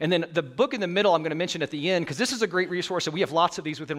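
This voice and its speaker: This man's voice sits high in pitch, and he speaks with an American accent. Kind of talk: sermon. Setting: church. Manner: fast talker.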